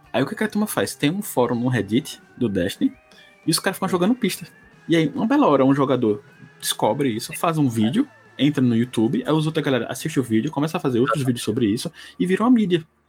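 Music plays in the background as a man talks at a very fast pace. His fairly high voice swings very widely in pitch. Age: 40s. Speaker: podcast co-host. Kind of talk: casual chat.

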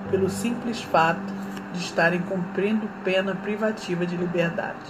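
At a fairly slow pace, the speaker delivers flat, monotone lines amid audible room echo and noticeable background noise. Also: woman. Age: 40s. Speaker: journalism student and social activist. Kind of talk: scripted narration. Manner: formal.

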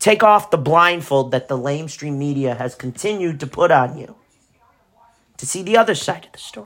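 In an American accent, a man with an ordinary speaking voice talks at a moderate pace with lively intonation. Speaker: political podcast host. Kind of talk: profane angry rant aimed directly at a public figure. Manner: furious, cursing, insult-hurling; taunting, confrontational direct address.

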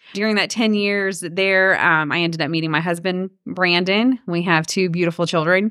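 Delivered in a Georgia accent at a moderate pace, the speech has very even loudness and fairly even intonation. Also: woman, medium pitch for a woman. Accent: US Southern (Georgia). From Georgia, Cherokee County. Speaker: realtor. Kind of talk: interview conversation.

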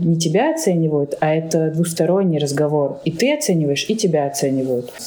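There is audible room echo and noticeable background noise. A woman speaks with a fairly low pitch. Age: 20s. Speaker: HR consultant. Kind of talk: interview.

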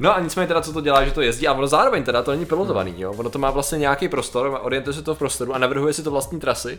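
A man's very fast speech with hardly any pauses, fairly high in pitch with ordinary pitch variation, over noticeable background noise. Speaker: podcast co-host. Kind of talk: casual chat.

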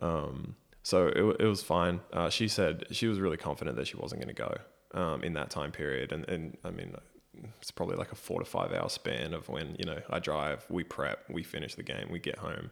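Speaking at a fairly quick pace, a man with an Australian accent has a very deep, low voice and vocal fry. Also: ordinary pitch variation. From Australia, Brisbane. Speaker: professional basketball player. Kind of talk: casual interview chat. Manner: many filler ums.

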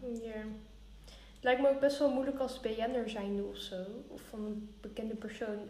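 A woman's speech comes with big swings in loudness and long, frequent pauses. The recording has audible room echo and noticeable background noise. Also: fairly even intonation, moderate pace. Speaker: podcast co-host. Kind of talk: casual chat. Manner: calm.

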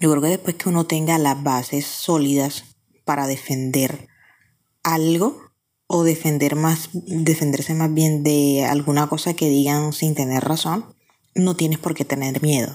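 Her voice is very deep and low, with a dark, mellow tone, very even loudness and fairly even intonation. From Colombia, Barranquilla (Caribbean coast). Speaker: listener sending voice message. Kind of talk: recorded voice message.

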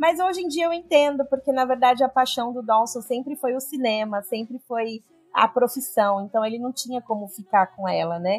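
Lively, high-pitched female voice at a moderate pace, with music in the background. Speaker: podcast co-host. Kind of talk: casual chat.

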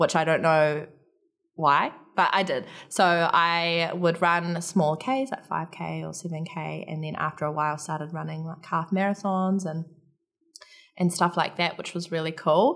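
A woman with a New Zealand accent, fairly slow and fairly even in intonation, with big swings in loudness. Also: fairly low pitch for a woman. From New Zealand, Palmerston North. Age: 20s. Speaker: army military police instructor. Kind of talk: interview.

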